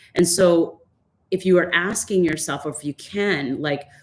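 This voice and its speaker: Moderate pace and ordinary pitch variation in a woman's unremarkable speaking voice, fairly low in pitch. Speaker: fitness instructor and life coach. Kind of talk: online workshop talk. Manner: casual, with many fillers.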